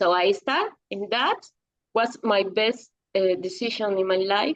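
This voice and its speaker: A woman speaks at a medium pitch with a Spanish accent. Her pace is fairly slow and her pitch varies in an ordinary way. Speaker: psychology teacher. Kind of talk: interview. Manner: halting.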